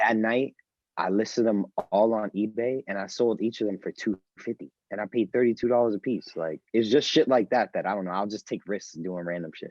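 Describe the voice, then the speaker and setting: A fairly quick delivery in a New York accent with ordinary pitch variation. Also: man, fairly low pitch for a man. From New York City. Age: 20s. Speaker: store owner and sneaker reseller. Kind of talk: casual podcast interview.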